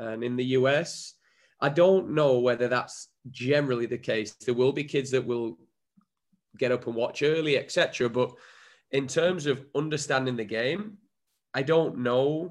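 Over a quiet background, a man with an English accent speaks at a moderate pace and medium pitch, with ordinary pitch variation and long, frequent pauses. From England. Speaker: former footballer and coach. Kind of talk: interview.

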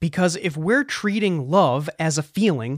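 Here is an unremarkable speaking voice: a man with an American accent, talking at a moderate pace with lively intonation. The sound is dry and close with no echo, in a very clean recording with a silent background. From US Northeast (south of Boston, Massachusetts). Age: 30s. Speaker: podcast host. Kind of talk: monologue podcast.

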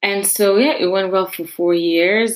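A woman speaks in a French accent. Her pitch variation is ordinary. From France, Paris suburbs. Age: 20s. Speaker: podcast host, university student. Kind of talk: personal monologue.

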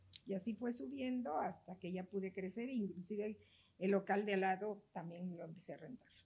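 A woman's somewhat breathy, dark, mellow voice at medium pitch with ordinary pitch variation. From Mexico, Oaxaca. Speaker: real estate broker and association president. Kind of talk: interview.

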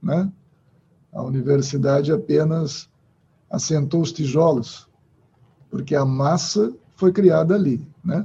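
Very slowly and with long, frequent pauses, a man speaks in a fairly high, somewhat breathy voice. His tone is dark and mellow, with ordinary pitch variation. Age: 50s. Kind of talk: interview.

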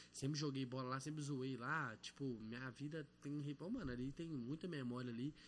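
A man talks in a normal speaking voice at a medium pitch. His intonation is fairly even, with hardly any pauses. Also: moderate pace. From Belo Horizonte, Morro das Pedras, Brazil. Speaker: rapper. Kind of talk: casual chat.

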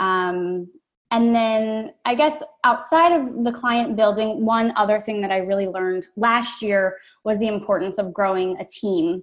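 With an American accent and a normal speaking voice, a woman talks at a fairly slow pace with fairly high pitch and ordinary pitch variation on a very clean recording with a silent background. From Maryland. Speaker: interior designer. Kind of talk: interview.

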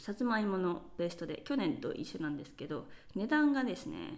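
Heard with audible room echo, a woman with a fairly high pitch talks at a moderate pace, her pitch swinging very widely. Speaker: podcast host. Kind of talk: solo monologue podcast. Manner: casual, many fillers.

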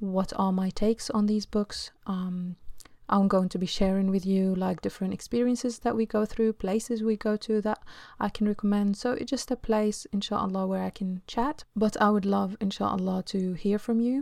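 This woman has an Arabic accent, a medium pitch, and a dark, mellow tone with fairly even intonation. The recording is very clean, with a silent background. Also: moderate pace. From Egypt. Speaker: home-educating mother and podcaster. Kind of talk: solo podcast monologue.

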